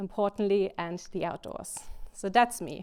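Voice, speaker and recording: A woman with a German accent speaks at a medium pitch. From Germany. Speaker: games industry speaker. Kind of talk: conference talk. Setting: stage with audience. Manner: fast.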